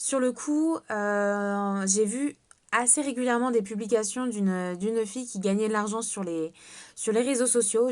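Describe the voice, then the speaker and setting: Over a quiet background, a woman with a fairly high pitch and ordinary pitch variation speaks at a very slow pace. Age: 20s. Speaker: network marketing seller. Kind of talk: sales pitch. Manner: hesitant, many fillers.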